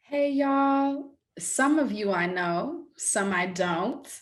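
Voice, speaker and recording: A woman with an East Coast US accent on a very clean recording, silent background. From New York. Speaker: theatre director and educator. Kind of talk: workshop facilitation. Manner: crisp hard consonants.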